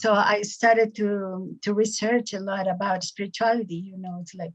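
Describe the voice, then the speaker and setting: Music plays in the background as a woman talks at a moderate pace in a flat, monotone intonation. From Peru, Cusco. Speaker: spiritual teacher. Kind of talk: interview.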